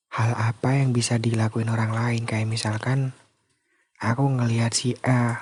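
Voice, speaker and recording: Flat and monotone in intonation, the somewhat breathy voice moves at a fairly slow pace with a calm tone. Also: man. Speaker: sleep call / ASMR content creator. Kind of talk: casual sleep call talk, confessional voice message. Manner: calm, intimate, conversational.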